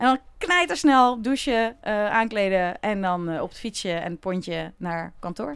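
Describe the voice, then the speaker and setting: A woman with a plain, everyday voice speaks fairly slowly at a medium pitch, with ordinary pitch variation and big swings in loudness. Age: 40s. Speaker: happiness coach. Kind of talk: casual chat.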